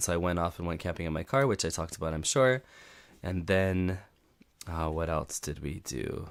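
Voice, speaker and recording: The recording is very clean and the background silent. In it, a man talks with a very deep, low pitch. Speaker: podcast host. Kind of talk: live stream monologue. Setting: live stream. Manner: halting.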